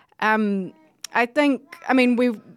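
Speaking at a fairly slow pace, a woman with a New Zealand accent is heard on a very clean recording with a silent background. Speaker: gallery deputy director. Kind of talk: casual chat. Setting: studio. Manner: hesitant, many fillers.

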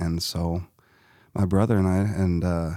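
The recording is very clean, with a silent background. In it, a man talks with an American accent. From Southern Illinois, US. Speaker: musician. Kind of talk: interview. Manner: halting, many fillers.

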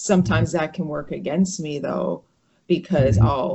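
With lively intonation and vocal fry, a woman speaks at a moderate pace in an American accent. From US, northern New Jersey. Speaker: brain injury survivor. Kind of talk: interview. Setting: video call.

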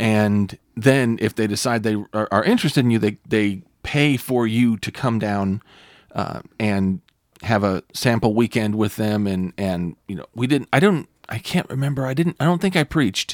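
A man with an American accent, medium pitch and moderate pace, on a very clean recording with a silent background and a dry, close sound with no echo. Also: ordinary pitch variation. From Northern US. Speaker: pastor and podcast host. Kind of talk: casual chat. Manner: animated.

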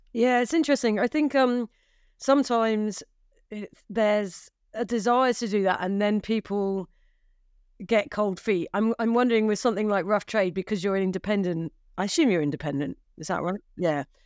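A woman speaks at a moderate pace and medium pitch in an unremarkable speaking voice, with lively intonation. The sound is dry and close with no echo, on a very clean recording with a silent background. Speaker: podcast host and magazine editor. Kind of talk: moderated panel discussion.

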